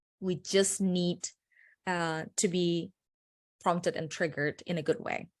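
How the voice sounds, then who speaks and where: The speaker has a non-native accent and a fairly slow pace with long, frequent pauses. Intonation stays fairly even on a very clean recording with a silent background. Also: woman, fairly low pitch for a woman. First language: not English. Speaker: personal branding consultant. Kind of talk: panel discussion.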